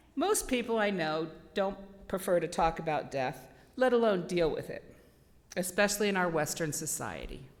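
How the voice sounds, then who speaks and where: With audible room echo, a woman with a fairly low pitch speaks with long, frequent pauses. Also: lively intonation, moderate pace. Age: 60s. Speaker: spiritualist lecturer. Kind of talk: sermon. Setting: church. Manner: loud.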